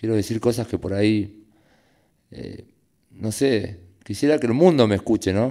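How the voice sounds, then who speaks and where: Against a quiet background, a man with a dark, mellow tone and ordinary pitch variation speaks at a moderate pace with long, frequent pauses. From Argentina, Fuerte Apache (Greater Buenos Aires); Argentina. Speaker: prison university student and writer; interviewee. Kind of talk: panel talk at public event. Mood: reflective, earnest. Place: hall. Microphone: podium.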